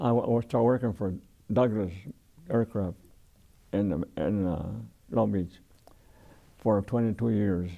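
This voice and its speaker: This man has an American accent and a dark, mellow tone at a fairly low pitch with ordinary pitch variation. He talks at a fairly slow pace, leaving long, frequent pauses. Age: 80s+. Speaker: war veteran. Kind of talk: oral history interview. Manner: halting, many repetitions and restarts.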